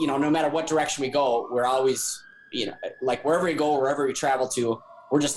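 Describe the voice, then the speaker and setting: Over noticeable background noise, a man with a fairly high pitch speaks at a very fast pace in a monotone, flat intonation with very even loudness. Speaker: life coach. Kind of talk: casual chat.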